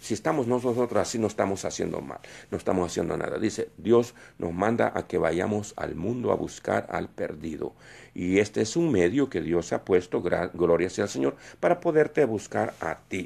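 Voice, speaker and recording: His pitch is fairly low but swings very widely. The man is recorded very cleanly over a silent background. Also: moderate pace. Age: 60s. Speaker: preacher. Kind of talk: sermon. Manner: halting.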